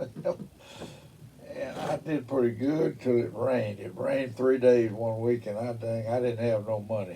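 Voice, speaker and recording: Over noticeable background noise, a man with a Mississippi accent talks at a fairly slow pace with fairly even intonation. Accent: Southern US, Mississippi. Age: 80s+. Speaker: engineer. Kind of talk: oral history interview answer. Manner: colorful storyteller, salty.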